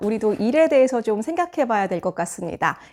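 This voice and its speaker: A woman speaks with very wide swings in pitch. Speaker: middle school teacher and book YouTuber. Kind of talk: book review talk.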